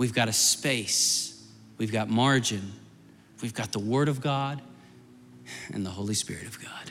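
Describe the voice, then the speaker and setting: Over music in the background, a man speaks at a fairly slow pace with medium pitch and ordinary pitch variation. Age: 40s. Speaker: guest preacher and youth minister. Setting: church sanctuary with congregation and altar. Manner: earnest, pastoral and urgent, with repeated phrases like as soon as I say amen; run-on and flowing, words tumbling together with few pauses.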